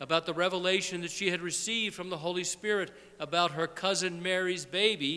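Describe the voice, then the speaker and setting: Bright and sharp in tone, the voice keeps a moderate pace. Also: man. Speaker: priest. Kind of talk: sermon. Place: church. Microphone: podium.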